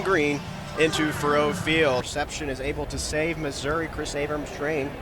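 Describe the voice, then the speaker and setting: A man talks at a moderate speed. Behind him, music is playing. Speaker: radio play-by-play announcer. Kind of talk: sports radio play-by-play.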